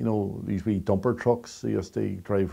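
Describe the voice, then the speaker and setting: A man's fairly low voice in a Northern Irish accent, dark and mellow in tone with monotone, flat intonation, on a very clean recording with a silent background. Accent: Derry Northern Irish. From Derry, Northern Ireland. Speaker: storyteller. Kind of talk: interview answer.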